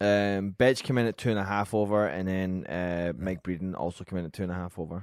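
A man with a Scottish accent and a very deep, low pitch speaks very fast, with hardly any pauses. His pitch varies in an ordinary way, and the recording is very clean with a silent background. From Scotland. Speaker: podcast producer reading news. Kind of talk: casual chat.

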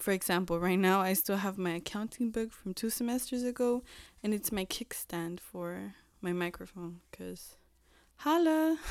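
Lively intonation carries the speech at a moderate pace in a very clean recording with a silent background. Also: woman, medium pitch for a woman. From Mexican-American home, US. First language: Spanish. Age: 20s. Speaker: podcast host. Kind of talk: casual chat. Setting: home recording at computer. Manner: nervous, giggly.

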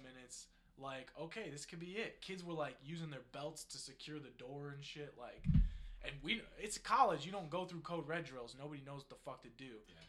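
This man has an American accent and a fairly high-pitched, bright, sharp voice whose loudness swings widely. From northeast Ohio. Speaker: podcast co-host. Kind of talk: casual chat.

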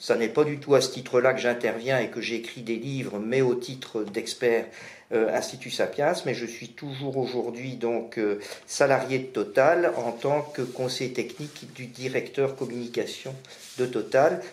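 A man speaks at a medium pitch and a fairly slow pace. His intonation is fairly even, and room echo is audible. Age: 60s. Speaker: energy expert. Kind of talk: expert interview.

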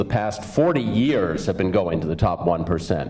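The room echo is audible. Background noise is noticeable too. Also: man. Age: 50s. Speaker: union leader and advocate. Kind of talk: conference speech.

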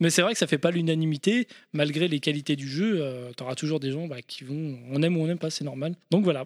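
A man with a normal speaking voice, fairly high in pitch, ordinary pitch variation, big swings in loudness and a fairly quick pace, on a very clean recording with a silent background. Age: 30s. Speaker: video game podcast guest. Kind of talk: casual chat.

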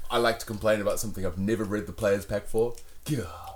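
With a New Zealand accent, a man talks at a medium pitch with ordinary pitch variation. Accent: Kiwi. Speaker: podcast co-host. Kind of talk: casual chat. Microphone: came through quieter than co-host.

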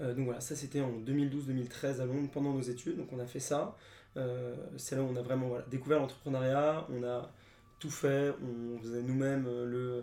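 Monotone and flat, a man's medium-pitched voice has a dark, mellow tone at a moderate pace, with audible room echo. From France, Paris. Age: 20s. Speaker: startup co-founder. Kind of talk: interview.

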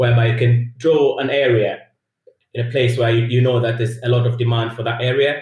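The man's voice is somewhat breathy and sits at a medium pitch. He talks at a fairly quick pace in a monotone, flat intonation. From Tanzania, East Africa. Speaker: technical lead. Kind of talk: casual interview.

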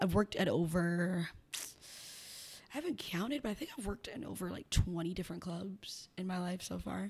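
A woman with an American accent speaks at a fairly low pitch with vocal fry. Her intonation is lively. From Chicago south side. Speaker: sex worker and businesswoman. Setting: studio.

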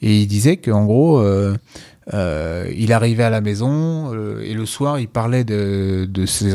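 A man's dark, mellow voice sits fairly low, with ordinary pitch variation. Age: 40s. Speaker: jiu-jitsu coach and podcast co-host. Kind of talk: casual chat.

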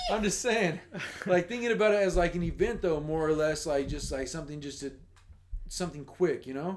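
Noticeable background noise sits behind the voice. The pitch varies in an ordinary way at a fairly quick pace. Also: man, high pitch for a man. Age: 30s. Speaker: podcast guest. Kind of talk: casual chat.

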